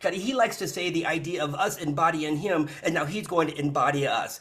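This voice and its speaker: A man's pitch varies in an ordinary way as noticeable noise runs in the background. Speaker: spiritual channeler. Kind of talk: live channeling session. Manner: fast.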